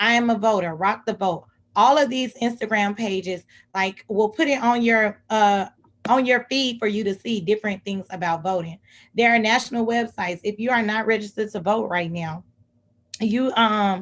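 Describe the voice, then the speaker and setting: On a very clean recording with a silent background, a woman with an American accent speaks at a fairly high pitch with ordinary pitch variation. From Texas, Houston. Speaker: civic engagement advocate. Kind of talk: presentation. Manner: fast.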